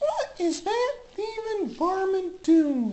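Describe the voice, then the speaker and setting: Extremely high and female-sounding, the put-on character voice moves at a very slow pace with very wide pitch swings. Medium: comedy sketch. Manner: indignant, hollering.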